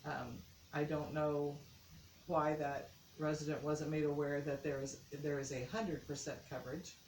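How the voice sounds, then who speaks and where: A woman's very deep, low-pitched voice at a moderate pace, with fairly even intonation, long, frequent pauses and audible room echo. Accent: American. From US Midwest, Indiana. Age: 60s. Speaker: mayoral candidate. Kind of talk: interview. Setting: on camera interview.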